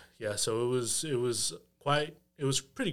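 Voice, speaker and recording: A man with an American accent and a medium pitch has a plain, everyday voice. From Texas. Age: 20s. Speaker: real estate investor. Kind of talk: casual chat.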